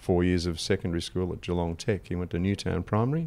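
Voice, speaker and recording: Speaking very fast with an Australian accent, a man uses a very deep, low voice. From Wimmera, Victoria, Australia. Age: 60s. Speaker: financial adviser. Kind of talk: podcast interview answer.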